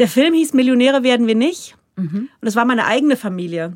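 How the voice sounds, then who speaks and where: A woman with an unremarkable speaking voice talks at a moderate pace, her fairly high pitch carrying lively intonation. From Palatinate, Germany. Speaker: state politician and filmmaker. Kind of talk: interview conversation.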